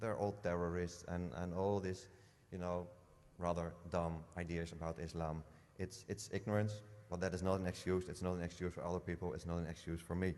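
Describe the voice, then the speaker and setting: In a Dutch accent, a man speaks with a very deep, low pitch. His pace is fairly quick and his intonation fairly even. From Netherlands. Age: 40s. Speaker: politician. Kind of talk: interview testimony. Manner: halting, many fillers.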